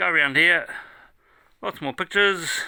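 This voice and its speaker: Delivered at a moderate pace with a relaxed tone, the voice carries a New Zealand accent and a bright, sharp quality. The recording is very clean, with a silent background. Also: man. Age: 70s. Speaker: music fan and collector. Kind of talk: casual video tour. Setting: home room, downstairs. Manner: relaxed, casual.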